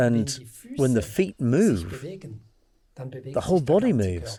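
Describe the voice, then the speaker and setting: With vocal fry and very wide pitch swings, a man speaks at a medium pitch in a dark, mellow tone. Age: 60s. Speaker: movement scientist. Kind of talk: interview.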